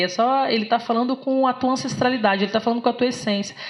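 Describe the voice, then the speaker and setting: A woman talks at a very fast pace with a fairly high pitch. Noticeable background noise sits behind her. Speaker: philosophy lecturer. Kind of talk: lecture. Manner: animated.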